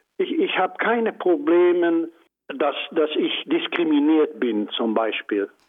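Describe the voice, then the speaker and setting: The voice moves at a very slow pace with lively intonation. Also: man. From Netherlands. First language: Dutch (speaking German). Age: 80s+. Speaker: Holocaust survivor. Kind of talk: interview. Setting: phone call.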